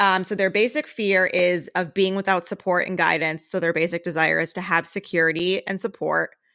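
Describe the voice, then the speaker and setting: Loud and fairly quick, a woman with a fairly low pitch and vocal fry talks in a bright, sharp tone with fairly even intonation on a very clean recording with a silent background. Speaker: podcast co-host. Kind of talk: reading aloud; casual chat.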